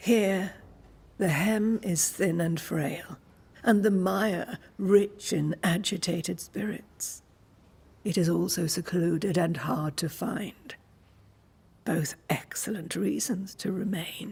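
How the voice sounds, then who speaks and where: A put-on character voice at a middle pitch. The pace is fairly slow, with long, frequent pauses. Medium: video game. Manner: calm, measured, enigmatic.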